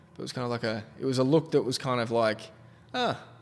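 Using an Australian accent, a man speaks at a fairly quick pace with medium pitch. His intonation stays fairly even. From South Australia (Adelaide). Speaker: photographer and podcast host. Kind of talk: casual interview chat.

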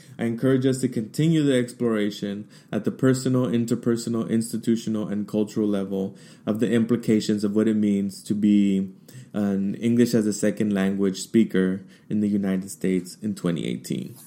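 In a very clean recording with a silent background, a man speaks with a dark, mellow tone and a fairly low pitch. His pace is fairly quick, and his pitch varies in an ordinary way. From US, Mexican-American family. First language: Spanish. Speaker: podcast host, diversity trainer. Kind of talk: monologue / personal testimony. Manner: animated.

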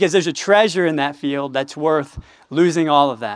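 In an American accent, a man talks at a moderate pace with lively intonation. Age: 20s. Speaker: campus ministry director. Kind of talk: sermon.

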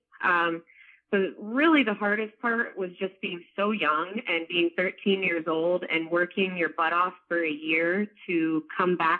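A woman speaks at a fairly low pitch with ordinary pitch variation. Hers is an unremarkable speaking voice. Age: 20s. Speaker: author and strength coach. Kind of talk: interview.

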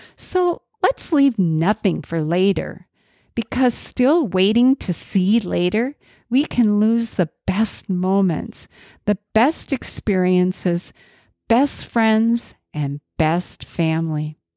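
A woman with an American accent speaks very slowly at a medium pitch, her dark, mellow tone carrying lively intonation at very even loudness. The recording is very clean with a silent background and a dry, close sound with no echo. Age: 70s. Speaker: podcast host. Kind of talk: solo monologue.

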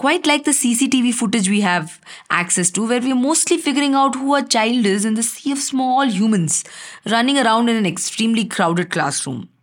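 An unremarkable speaking voice at a fairly quick pace, with lively intonation and very even loudness. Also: woman, fairly high pitch for a woman. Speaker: writer reading her own chapter. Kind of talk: literary audiobook reading, first-person memoir with dialogue.

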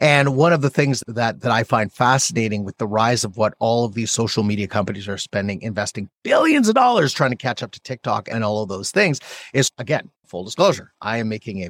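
Dry and close with no echo, this recording has a man with a normal speaking voice at medium pitch, talking at a fairly quick pace with hardly any pauses. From Canada. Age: 40s. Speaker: podcast host. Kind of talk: casual interview chat.

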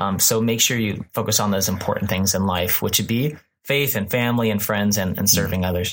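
Here, a man with an American accent has an unremarkable speaking voice and a fairly low pitch. He moves at a fairly quick pace with ordinary pitch variation. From Texas, Houston. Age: 30s. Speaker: pastor. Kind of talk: casual chat. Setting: studio.

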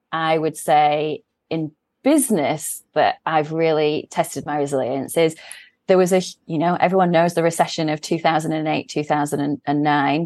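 With an English accent, a woman speaks in a very deep, low voice, the sound dry and close with no echo against a quiet background. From England. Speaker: CEO of a management consultancy. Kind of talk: interview. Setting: remote call.

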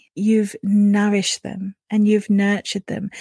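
A woman's fairly high, somewhat breathy voice with a British accent, dark and mellow yet soothing and gentle in tone, at a fairly slow pace, dry and close with no echo. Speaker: podcast host and spiritual coach. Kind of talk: guided meditation. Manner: slow, soothing, gentle; calm, warm, dreamy.

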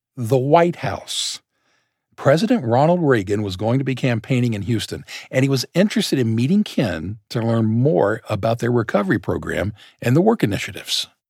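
A man with an ordinary speaking voice, lively intonation and a fairly quick pace on a very clean recording with a silent background. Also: medium pitch for a man. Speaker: podcast co-host. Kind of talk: scripted narration.

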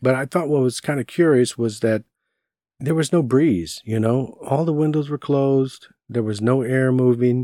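A man's dark, mellow voice in a Texan accent, medium in pitch with ordinary pitch variation, at a moderate pace, dry and close with no echo on a very clean recording with a silent background. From Southeast Texas, Beaumont. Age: 50s. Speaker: paranormal podcast host. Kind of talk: personal storytelling.

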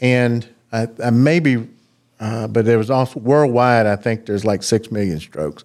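In a very clean recording with a silent background, a man talks at a moderate pace. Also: medium pitch for a man, ordinary pitch variation. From US South, South Georgia. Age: 50s. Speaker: cardiologist. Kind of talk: interview.

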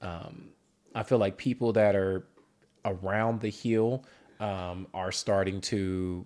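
A man with an American accent, very deep and low-pitched, with fairly even intonation on a very clean recording with a silent background. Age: 40s. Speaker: podcast co-host. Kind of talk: casual chat. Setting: studio. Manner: hesitant, many fillers.

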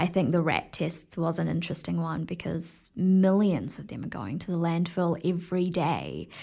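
A woman's fairly low, dark, mellow voice with vocal fry and a New Zealand accent, fairly even intonation, moderate pace and hardly any pauses, in a very clean recording with a silent background. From New Zealand (Tauranga), born in Fiji. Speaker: TV field reporter. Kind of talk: interview.

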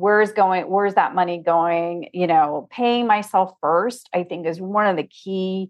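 An unremarkable speaking voice at a moderate pace. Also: woman. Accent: American. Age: 50s. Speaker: financial consultant and coach. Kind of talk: casual interview chat.

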